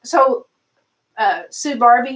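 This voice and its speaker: High-pitched woman's voice in a Southern accent, with ordinary pitch variation. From US South, Arkansas. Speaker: doll channel live stream host. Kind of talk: live stream chat. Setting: live stream.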